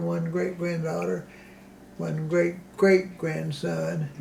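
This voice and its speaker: A man speaking at a very slow pace, with noticeable background noise and audible room echo. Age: 80s+. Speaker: elderly local resident interviewed for oral history. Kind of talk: oral history interview. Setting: in his home. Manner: halting, with frequent fillers and restarts.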